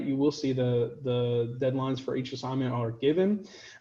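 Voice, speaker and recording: A man speaks with a fairly high pitch. His tone is dark, mellow and somewhat breathy. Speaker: high school physics teacher. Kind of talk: online class video. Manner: fast.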